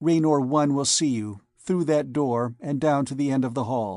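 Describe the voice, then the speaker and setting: A man's put-on character voice, fairly high, at a moderate pace over a quiet background. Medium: read story. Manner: cool, disdainful.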